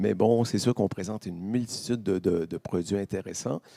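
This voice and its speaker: In a very clean recording with a silent background, a man with a Quebec accent talks at a fairly low pitch with a dark, mellow tone, ordinary pitch variation, and a dry, close sound with no echo. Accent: Québécois. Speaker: vendor of Canadian food products. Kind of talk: interview at a fair. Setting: live stream set at a fair. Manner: animated.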